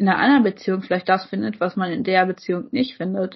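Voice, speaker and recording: Her voice is somewhat breathy, and the woman speaks at a medium pitch. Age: 20s. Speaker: podcast co-host. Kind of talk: casual chat.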